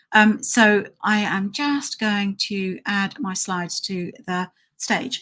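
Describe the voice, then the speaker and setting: With a British accent, a woman talks at a very slow pace and a medium pitch, her tone bright and sharp and her pitch variation ordinary. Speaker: dog trainer. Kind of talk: live stream tutorial. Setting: live stream with slides.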